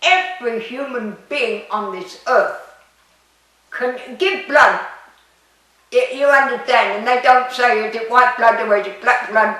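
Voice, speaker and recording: At a fairly slow pace, a high-pitched woman speaks with lively intonation, big swings in loudness and long, frequent pauses, with audible room echo around her. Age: 90s. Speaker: metaphysics speaker, retired UN worker. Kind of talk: interview.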